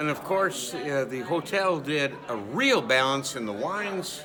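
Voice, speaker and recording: A fairly high-pitched man with an American accent at a fairly slow pace, amid noticeable background noise and audible room echo. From US Midwest, west suburban Chicago. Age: 60s. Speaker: wedding guest, parent of the couple. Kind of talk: on-camera review interview.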